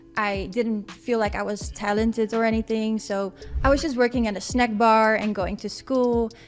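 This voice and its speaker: A woman's fairly high voice with a Dutch accent, at a moderate pace with fairly even intonation, and music in the background. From Netherlands, Amsterdam. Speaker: wellness coach. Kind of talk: interview. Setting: studio.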